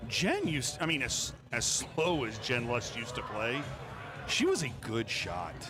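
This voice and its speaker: A man at a medium pitch and fairly slow pace with ordinary pitch variation, audible room echo and music in the background. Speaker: pool match live stream commentator. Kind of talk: live commentary. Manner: loud.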